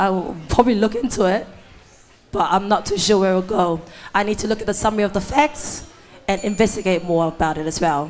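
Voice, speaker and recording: Noticeable background noise accompanies a woman speaking at a fairly quick pace. Her pitch sits at a medium level with ordinary variation. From Cook Islands. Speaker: student election candidate. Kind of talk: debate. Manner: halting.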